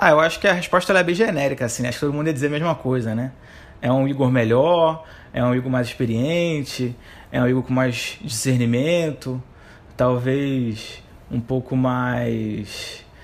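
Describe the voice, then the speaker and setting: A man's ordinary speaking voice, medium in pitch, at a moderate pace with ordinary pitch variation. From Rio de Janeiro, Brazil. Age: 30s. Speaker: economist. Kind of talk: interview.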